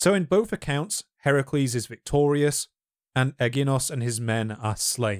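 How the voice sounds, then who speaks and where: A man with an unremarkable speaking voice talks at a fairly high pitch with lively intonation on a very clean recording with a silent background. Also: moderate pace, dry, close sound with no echo. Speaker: history YouTuber and podcast host. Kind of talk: casual chat.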